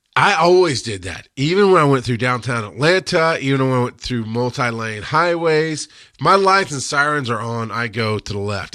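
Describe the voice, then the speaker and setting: On a very clean recording with a silent background, a man talks fairly quickly at medium pitch, his tone bright and sharp and his intonation lively. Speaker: paramedic educator and show host. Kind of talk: live-stream rant and Q&A. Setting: studio, Facebook live stream. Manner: halting, self-correcting.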